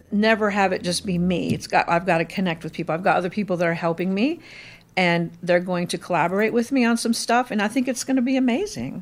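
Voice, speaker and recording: A woman with an American accent talks at a very fast pace on a very clean recording with a silent background. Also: medium pitch for a woman, lively intonation. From Indiana, US Midwest. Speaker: retired restaurant owner and chef. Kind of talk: casual interview.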